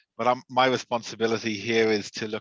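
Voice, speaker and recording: Against a quiet background, a man with an Irish accent and a bright, sharp tone speaks at a moderate pace with a medium pitch and fairly even intonation, in a dry, close sound with no echo. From Ireland. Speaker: regional sales manager. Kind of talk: webinar discussion.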